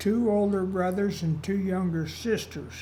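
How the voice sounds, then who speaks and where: This man has a high voice and an American accent. The room has an audible echo. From Utah, US. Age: 80s+. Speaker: elderly interviewee telling life story. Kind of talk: oral history interview. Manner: conversational, some hesitations.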